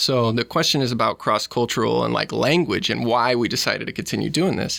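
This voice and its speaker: A man speaks with a Midwestern US accent. His pace is very fast. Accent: US Midwest. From Omaha, Nebraska. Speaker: lawyer and scholarship founder. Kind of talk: interview conversation.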